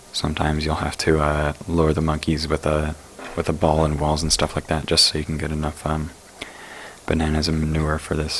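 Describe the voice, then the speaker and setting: Moderate pace and monotone, flat intonation, against noticeable background noise. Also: man. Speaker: gaming tutorial creator. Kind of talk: casual game tutorial commentary. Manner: casual, hesitant with fillers.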